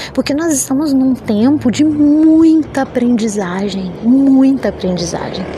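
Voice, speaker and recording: Amid noticeable background noise, a woman with a high-pitched voice speaks with hardly any pauses. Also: lively intonation, fairly slow pace. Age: 40s. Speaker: podcaster. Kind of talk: personal monologue. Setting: rooftop terrace outdoors.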